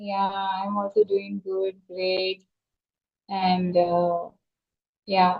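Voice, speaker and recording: In a Tamil accent, a woman speaks at a very slow pace and medium pitch, with a monotone, flat intonation and long, frequent pauses. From South India, Tamil Nadu, Chennai. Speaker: teacher. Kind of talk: casual conversation practice. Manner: hesitant with fillers.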